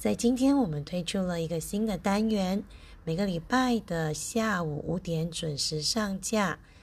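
At a very slow pace, a woman speaks in a medium pitch, somewhat breathy, with ordinary pitch variation. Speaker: podcast host and teacher. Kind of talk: casual radio-style talk.

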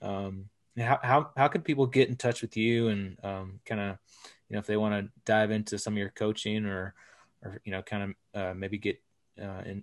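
A man with a Texan accent, fairly low in pitch, at a fairly quick pace with fairly even intonation, the sound dry and close with no echo over a quiet background. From Texas. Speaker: podcast co-host. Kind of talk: podcast interview. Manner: casual.

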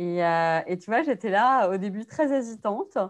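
A woman talks at a medium pitch with ordinary pitch variation in a plain, everyday voice, against a quiet background. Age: 30s. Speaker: sex educator. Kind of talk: casual interview.

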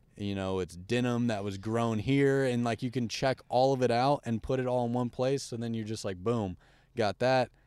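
The recording is very clean with a silent background and a dry, close sound with no echo, as a man with a medium pitch speaks at a moderate pace with fairly even intonation. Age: 20s. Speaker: fashion brand founder. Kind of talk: casual chat. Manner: halting, many fillers.

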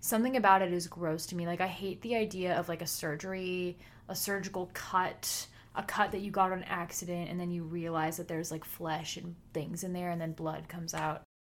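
This woman has an unremarkable speaking voice, pitched fairly low. She talks at a fairly quick pace with fairly even intonation. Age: 20s. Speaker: podcast co-host and student. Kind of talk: casual chat.

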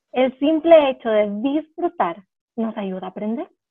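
A woman speaks with lively intonation. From El Salvador. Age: 20s. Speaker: special education teacher and violinist. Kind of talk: interview. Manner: animated.

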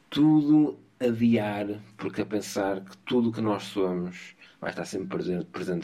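Lively in intonation, a man talks in a fairly low voice with a dark, mellow tone. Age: 30s. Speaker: podcast co-host. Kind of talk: casual philosophical conversation.

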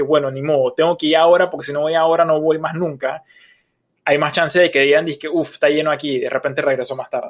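Speaking at a very fast pace, a man has a high pitch. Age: 30s. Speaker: podcast co-host. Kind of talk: casual chat.

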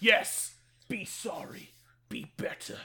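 A put-on character voice with a fairly high pitch. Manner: angry, stern.

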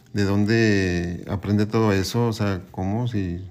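Intonation stays monotone and flat as a man talks. His pitch is fairly low and his pace fairly slow. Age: 50s. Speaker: guest's father. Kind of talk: casual family conversation. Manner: halting.

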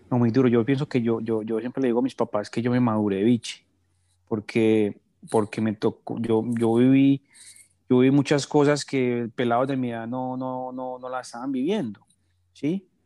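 On a very clean recording with a silent background, a man with an Antioquian accent speaks in a dark, mellow tone with fairly even intonation. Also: medium pitch for a man, moderate pace, dry, close sound with no echo. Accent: Colombian paisa Spanish. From Colombia, Medellín (paisa). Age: 30s. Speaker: entrepreneur. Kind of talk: interview. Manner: halting, repeats words.

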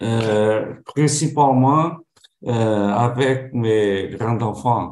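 A man with a Portuguese accent speaks at a very slow pace. His medium pitch shows ordinary variation. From Portugal. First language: Portuguese (speaking French). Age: 70s. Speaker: retiree, language learner. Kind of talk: conversation practice. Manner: halting, many hesitations.

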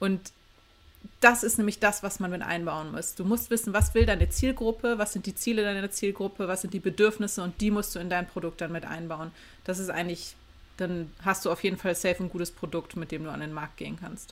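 Fairly quick and fairly even in intonation, a woman talks in an ordinary speaking voice at a medium pitch. Her loudness swings widely. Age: 30s. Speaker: graphic designer and lecturer. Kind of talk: interview.

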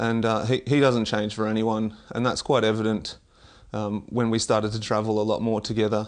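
Over a quiet background, a man with an Australian accent and fairly low pitch talks at a fairly quick pace in monotone, flat intonation. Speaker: Olympic discus thrower and athletics coach. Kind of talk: interview. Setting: in person, at a track and field club.

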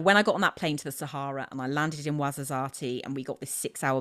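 This woman has a very deep, low pitch and a British accent. The recording is very clean, with a silent background. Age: 40s. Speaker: trail runner and motivational speaker. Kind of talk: casual chat.

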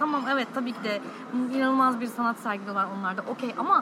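A woman at high pitch and very fast pace, lively intonation over noticeable background noise. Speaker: podcast host. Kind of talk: interview. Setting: cafe.

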